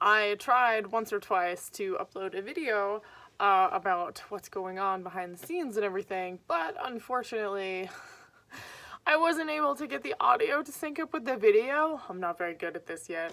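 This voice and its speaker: Her bright, sharp voice swings very widely in pitch, and the woman is recorded very cleanly against a silent background. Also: medium pitch for a woman, moderate pace, big swings in loudness. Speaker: vlogger and writer. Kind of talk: casual vlog monologue. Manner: hesitant, many fillers.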